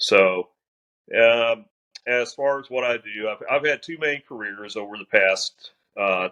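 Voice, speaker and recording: Someone speaks at a fairly slow pace in an American accent. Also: man, dry, close sound with no echo. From Missouri (Crawford County). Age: 40s. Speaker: former police officer and railroad inspector. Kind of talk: casual interview chat.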